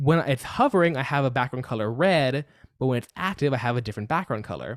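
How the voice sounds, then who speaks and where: A man's medium-pitched, ordinary speaking voice with ordinary pitch variation, in a dry, close sound with no echo. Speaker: coding teacher. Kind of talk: live online coding class. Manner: casual, many fillers.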